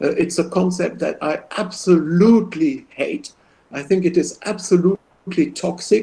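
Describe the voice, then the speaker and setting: This man has a high pitch, a dark, mellow tone, lively intonation, and a non-native accent. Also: fairly slow pace. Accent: foreign accent in English. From Belgium. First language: French. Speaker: professor. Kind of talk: lecture Q&A.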